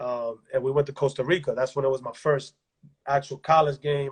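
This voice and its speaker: A man talks at a fairly quick pace, somewhat breathy and in a monotone, flat intonation, with a dry, close sound with no echo. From Dominican Republic. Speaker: basketball coach and former pro player. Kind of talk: interview. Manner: casual, halting with repetitions.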